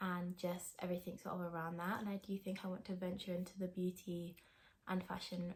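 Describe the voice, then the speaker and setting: A woman speaks at a fairly quick pace in a somewhat breathy, medium-pitched voice with a southern English accent. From England, countryside outside London. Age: 20s. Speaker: vlogger. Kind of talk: casual Q&A vlog talk.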